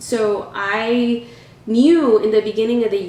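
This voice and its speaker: A woman with an American accent, audible room echo and noticeable background noise. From US South, Wilson, North Carolina. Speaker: community advocate. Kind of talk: interview. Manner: halting, with fillers and restarts.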